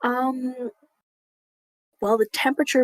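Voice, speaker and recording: A woman at a moderate pace, the sound dry and close with no echo. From Canada. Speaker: podcast co-host. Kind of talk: casual chat.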